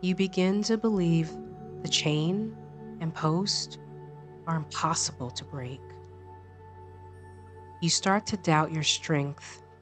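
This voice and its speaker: A woman with a very deep, low pitch, a calm, soothing tone, ordinary pitch variation and a very slow pace, over music in the background. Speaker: meditation guide, life coach, yoga instructor. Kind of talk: guided meditation. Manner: slow, calm, soothing.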